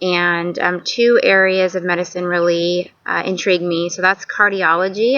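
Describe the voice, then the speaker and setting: A woman speaks at a fairly slow pace in a medium pitch, her intonation fairly even. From US Pacific Northwest, Tacoma, Washington. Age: 30s. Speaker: nursing student. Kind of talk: self-introduction video. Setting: outdoors. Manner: hesitant, many filler words.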